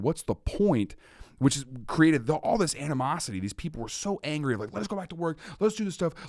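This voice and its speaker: A man's animated, very fast speech on a very clean recording with a silent background. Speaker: comedian and podcaster. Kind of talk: casual podcast conversation.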